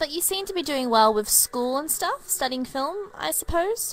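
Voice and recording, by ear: A quiet woman's voice, high-pitched and fairly bright, with big pitch swings at a moderate pace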